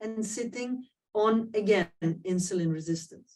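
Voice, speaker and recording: A woman talks with a non-native accent at a very slow pace. Her pitch is medium, with ordinary variation. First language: not English. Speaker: diabetes professor and society president. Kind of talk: webinar presentation. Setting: online webinar. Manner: hesitant, many fillers.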